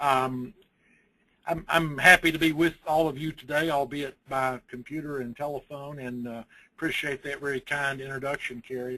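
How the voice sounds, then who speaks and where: At a moderate pace, a man with a Southern US accent speaks at a fairly high pitch with a bright, sharp tone, fairly even intonation, and big swings in loudness. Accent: Southern US (Georgia). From US South, Georgia. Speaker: construction lawyer. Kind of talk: webinar presentation. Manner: halting.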